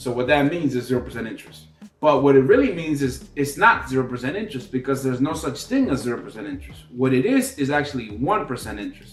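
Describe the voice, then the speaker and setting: A man speaking at a very fast clip with hardly any pauses and lively intonation, music playing behind him. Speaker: business credit educator. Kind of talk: unscripted tutorial.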